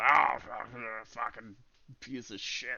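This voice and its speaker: A man uses a put-on character voice at medium pitch. It sounds gruff and rumbling. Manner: irritated, cursing.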